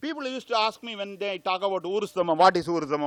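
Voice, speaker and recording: Speaking very fast, a man uses a high pitch with very wide pitch swings. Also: quiet background. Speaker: Ayurvedic doctor, conference speaker. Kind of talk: lecture. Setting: conference hall. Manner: loud.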